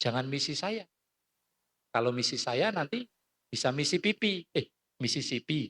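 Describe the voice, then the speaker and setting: This man's pitch swings very widely, and his tone is animated. The sound is dry and close with no echo, and the pace is moderate. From Central Java (Klaten). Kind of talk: talk.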